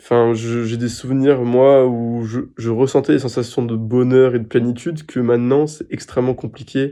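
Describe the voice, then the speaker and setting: The man's medium-pitched voice has a dark, mellow tone and monotone, flat intonation. Behind him the background is quiet. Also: moderate pace. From France. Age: 20s. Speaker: patient sharing testimony. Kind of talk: interview answer. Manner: hesitant, emotional.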